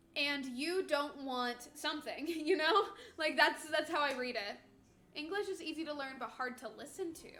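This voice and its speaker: With a slight northern US accent, a woman uses a raised, projected voice at a high pitch and a moderate pace. Her tone is bright and sharp, with ordinary pitch variation and big swings in loudness. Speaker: streamer co-host. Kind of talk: casual chat.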